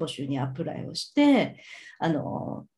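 The voice has a dark, mellow tone and sounds somewhat breathy. Its pitch swings very widely. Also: woman. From Tokyo (Suginami), Japan. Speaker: financial services employee, former hotel VIP concierge. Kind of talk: interview conversation.

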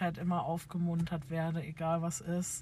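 A woman speaks in a somewhat breathy voice with a fairly low pitch. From Bavaria, near Munich. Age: 20s. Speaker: podcast co-host, childcare worker. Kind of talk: casual chat. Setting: in a car.

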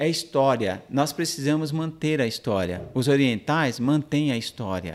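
A man's unremarkable speaking voice, pitched fairly high with lively intonation, at a fairly slow pace in a very clean recording with a silent background. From Brazil, São Paulo (moved from Minas Gerais at age 5). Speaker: helicopter pilot and aerial TV reporter. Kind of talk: interview chat.

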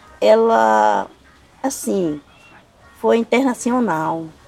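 With noticeable background noise behind her, a woman speaks with very wide pitch swings. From Brazil, Piauí, raised in Maranhão from age 9. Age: 60s. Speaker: farmworker, interviewee recounting her trial. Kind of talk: interview testimony. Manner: casual, conversational.

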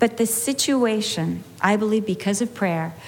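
Woman with an American accent, fairly high in pitch, ordinary pitch variation and a fairly slow pace, with noticeable background noise. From California. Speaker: Bible teacher. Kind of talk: sermon. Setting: women's Bible study with audience. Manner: animated.

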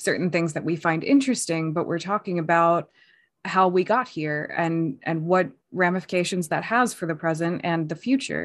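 A woman with a normal speaking voice, fairly low pitch and an American accent at a moderate pace, against a quiet background. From United States. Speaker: podcast co-host and PhD student. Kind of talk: casual chat.

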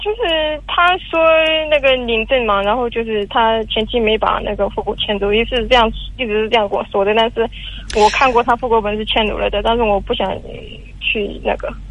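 Over noticeable background noise, a woman talks at a fairly high pitch and a fairly quick pace, with ordinary pitch variation. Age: 20s. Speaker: caller. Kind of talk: call-in advice conversation. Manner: halting, hesitant.

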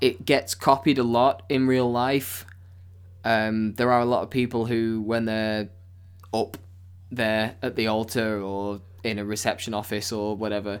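A man at medium pitch, his delivery monotone and flat. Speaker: podcast host. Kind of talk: casual chat.

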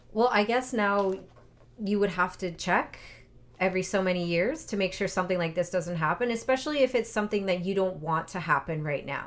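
A woman uses an ordinary speaking voice at a fairly quick pace with lively intonation. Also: medium pitch for a woman. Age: 40s. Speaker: podcast co-host. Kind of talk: casual chat.

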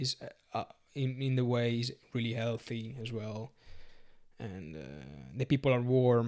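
With an Italian accent, a man talks at a fairly slow pace, leaving long, frequent pauses. His intonation stays fairly even. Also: medium pitch for a man. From Sardinia, Italy. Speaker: BJJ competitor and nurse. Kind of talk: casual podcast interview. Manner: halting, searching for English words.

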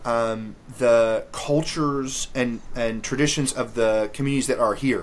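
A medium-pitched man talks with a slight Southern US accent. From US South, Memphis, Tennessee. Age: 30s. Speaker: theology lecturer and author. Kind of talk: interview.

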